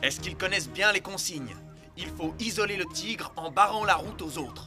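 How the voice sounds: A man's high, bright, sharp cartoonish character voice with lively intonation at a moderate pace, faint music in the background.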